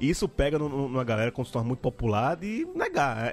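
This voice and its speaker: A man talks at a medium pitch. Music plays in the background. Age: 30s. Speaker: podcast host. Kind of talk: casual chat.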